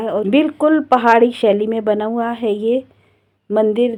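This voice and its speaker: Fairly high in pitch, a woman's voice has a dark, mellow tone. She speaks at a fairly slow pace with fairly even intonation. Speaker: vlogger. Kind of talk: travel vlog narration.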